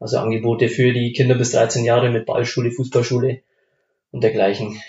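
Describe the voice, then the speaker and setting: This man speaks at a moderate pace and a medium pitch, somewhat breathy. His intonation stays monotone and flat. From Upper Palatinate, Bavaria (Lengenfeld near Amberg). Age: 20s. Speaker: amateur football club member. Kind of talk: casual chat. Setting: home kitchen.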